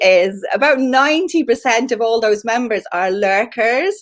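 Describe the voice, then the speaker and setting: With a Dublin accent, a woman speaks at a moderate pace in an animated tone, her high pitch moving in very wide swings. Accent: Irish, Dublin. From Ireland, Dublin. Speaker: LinkedIn trainer. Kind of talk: live stream Q&A. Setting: live video stream.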